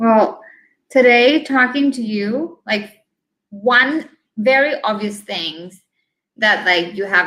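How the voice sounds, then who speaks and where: This woman talks at a very slow pace. Her tone is bright and sharp, with lively intonation. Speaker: podcast host. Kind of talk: interview.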